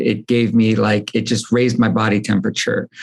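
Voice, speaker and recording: A man with an American accent uses a plain, everyday voice at a medium pitch, speaking at a moderate pace with fairly even intonation. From United States. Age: 40s. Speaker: entrepreneur, supplement company founder. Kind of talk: podcast interview, casual chat.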